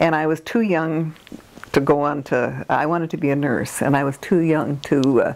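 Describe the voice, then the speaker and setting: A woman with an American accent speaks at a moderate pace in a very deep, low pitch. Her pitch varies in an ordinary way, and there is noticeable background noise. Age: 80s+. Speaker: retired nurse, oral history interviewee. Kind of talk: oral history interview. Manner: halting, many fillers.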